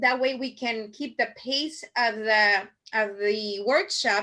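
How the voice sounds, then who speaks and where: With a strong Spanish accent, a woman speaks in a raised, projected voice with a bright, sharp tone against a quiet background. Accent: thick Spanish. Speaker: marketing workshop instructor. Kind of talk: online workshop presentation. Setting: video call. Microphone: video call.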